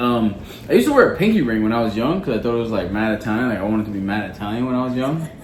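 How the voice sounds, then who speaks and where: An animated voice with a New York accent shows ordinary pitch variation. Noticeable background noise and audible room echo surround it. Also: man, medium pitch for a man. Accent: New York (Queens), drawn-out vowels. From New York City, Queens. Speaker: podcast co-host. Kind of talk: casual chat.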